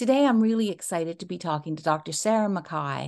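The recording is very clean, with a silent background. Speech is in a normal speaking voice at a moderate pace. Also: woman. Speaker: podcast host. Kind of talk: casual interview.

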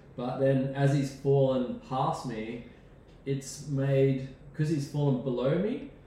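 Speaking very slowly with an Australian accent, a man with a fairly high pitch keeps a fairly even intonation amid audible room echo and noticeable background noise. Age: 40s. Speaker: rock climber. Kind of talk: casual interview storytelling. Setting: host's home.

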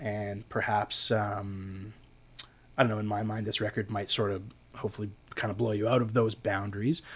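Speaking at a moderate pace, a man with a fairly low pitch keeps a monotone, flat intonation in a very clean recording with a silent background. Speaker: podcast host and recording studio engineer. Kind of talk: casual interview chat. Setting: studio. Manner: hesitant, filler-heavy, relaxed.

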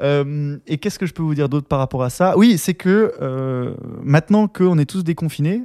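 A man speaks at a moderate pace in a fairly high voice with a dark, mellow tone. The sound is dry and close with no echo, and his pitch varies in an ordinary way. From France and Austria. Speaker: business developer, podcast co-host. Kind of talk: casual chat.

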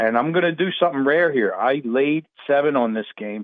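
At a moderate pace, a man speaks in an unremarkable speaking voice with medium pitch and ordinary pitch variation. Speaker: sports betting analyst. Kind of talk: sports talk radio.

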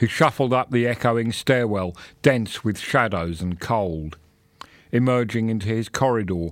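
A man with a plain, everyday voice speaks at a fairly slow pace, his pitch medium with ordinary variation. The recording is very clean, with a silent background. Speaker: audiobook narrator reading a short story. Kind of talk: dramatic audiobook-style narration of a gothic horror story, with character voices. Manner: brooding, hushed and suspenseful, with a slow pace and menacing hissed lines.

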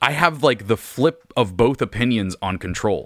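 A man talks at a moderate pace with medium pitch and ordinary pitch variation. He has an unremarkable speaking voice, heard on a very clean recording with a silent background. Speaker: podcaster and game fan. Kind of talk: casual banter about a video game.

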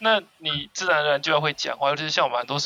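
A man speaks with a fairly high pitch. Noticeable background noise can be heard throughout. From Taiwan, Kaohsiung. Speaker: podcast co-host. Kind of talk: casual chat.

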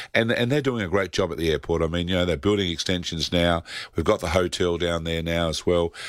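Very deep, low male voice with an Australian accent, a very fast pace and ordinary pitch variation, on a very clean recording with a silent background. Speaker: travel agency owner. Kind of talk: radio interview.

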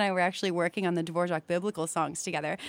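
A woman's voice sounds dry and close with no echo, over noticeable background noise. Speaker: soprano singer. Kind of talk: live radio interview. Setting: studio.

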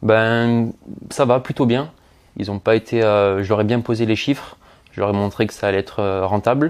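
With fairly even intonation, an ordinary speaking voice holds a moderate pace, captured in a very clean recording with a silent background. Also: man, medium pitch for a man. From Marseille, southern France. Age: 20s. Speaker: property investor. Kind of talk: interview.

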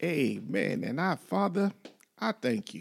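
Taking a fairly slow pace, a man speaks in a playful tone. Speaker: marriage podcast host. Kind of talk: casual banter, faith-based talk. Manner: playful, bantering.

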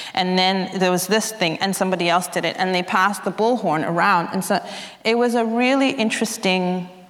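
With audible room echo around her, a woman speaks fairly quickly at a medium pitch with ordinary pitch variation. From South African exile family, grew up in Zambia and abroad. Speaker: writer. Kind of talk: interview at a live literary event. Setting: stage with audience.

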